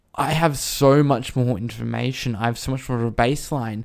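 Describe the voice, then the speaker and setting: Over a silent background in a very clean recording, a man with an Australian accent talks at a fairly slow pace in a medium pitch with a dark, mellow tone. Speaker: retail store manager. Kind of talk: casual chat.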